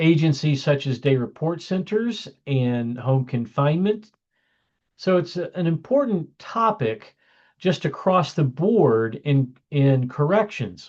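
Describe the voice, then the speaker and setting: Someone speaks at a very slow pace against a quiet background. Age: 60s. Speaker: criminal justice professor and licensed counselor. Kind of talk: lecture.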